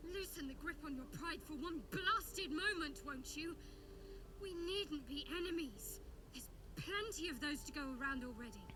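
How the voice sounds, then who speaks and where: Over loud background noise, a put-on character voice speaks at a moderate pace. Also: female-sounding voice, extremely high pitch for a woman. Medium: game stream. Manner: cold, clipped, commanding.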